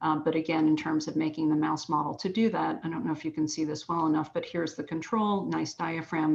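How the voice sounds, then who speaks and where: Her pitch is very deep and low, with vocal fry. The woman keeps her intonation fairly even. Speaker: physician-scientist researcher. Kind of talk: scientific presentation. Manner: fast.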